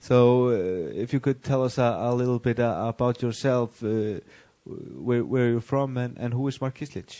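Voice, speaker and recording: In an Icelandic accent, a man talks at a medium pitch with a dark, mellow tone. His intonation is fairly even and his pace moderate. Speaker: sports interviewer. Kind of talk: interview. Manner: halting, many fillers.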